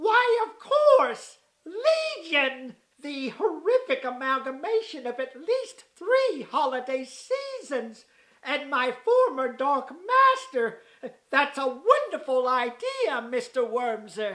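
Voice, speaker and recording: A cartoonish character voice pitched high. The pace is fairly slow. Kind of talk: old-fashioned formal diction. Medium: puppet show. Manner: pompous, genteel.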